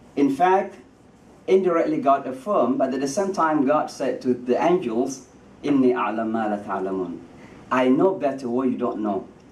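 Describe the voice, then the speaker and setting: Heard with audible room echo, a man of medium pitch speaks with lively intonation. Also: moderate pace. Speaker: imam. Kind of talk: speech. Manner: halting.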